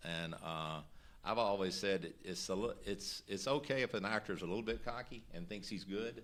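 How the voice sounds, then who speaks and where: With a Southern US accent, a man talks at a moderate pace in a fairly low voice with ordinary pitch variation. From Mississippi. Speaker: actor. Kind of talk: interview.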